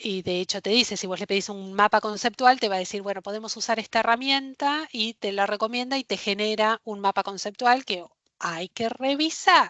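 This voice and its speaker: Hardly pausing at all, a woman with a Rioplatense accent speaks with ordinary pitch variation. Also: fairly high pitch for a woman, moderate pace. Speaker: librarian workshop instructor. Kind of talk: online workshop lecture.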